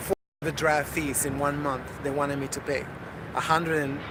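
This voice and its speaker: A man's fairly high, monotone voice with flat intonation, audible room echo and noticeable background noise. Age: 50s. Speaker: vlogger. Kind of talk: casual video diary. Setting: gym. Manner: halting, many fillers.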